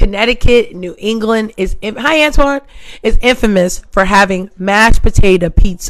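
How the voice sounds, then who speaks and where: Her pitch fairly high, a woman speaks at a fairly slow pace. Her tone is animated, with very wide pitch swings. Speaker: livestream host. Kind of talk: casual chat. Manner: loud.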